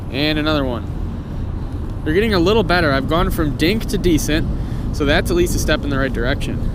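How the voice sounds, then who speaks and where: A man's fairly high pitch at a fairly quick pace, with ordinary pitch variation, noticeable background noise and audible room echo. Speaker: fishing YouTuber. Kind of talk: outdoor vlog commentary. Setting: outdoors on a frozen pond. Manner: fast; excited, animated.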